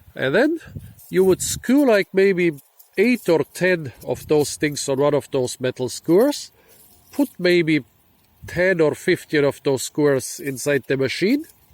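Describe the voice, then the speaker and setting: The sound is dry and close with no echo. A man talks with lively intonation, high pitch and very even loudness. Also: fairly slow pace. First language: not English. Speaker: foraging and plant video host. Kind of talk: casual explainer to camera. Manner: casual with frequent fillers.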